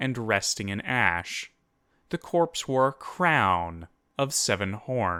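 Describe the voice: Lively intonation in plain reading aloud, the background quiet.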